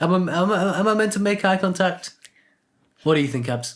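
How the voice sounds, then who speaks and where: Speaking very fast with lively intonation, a man with a British accent mumbles his words. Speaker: podcast co-host. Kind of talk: casual chat. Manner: mumbling; halting.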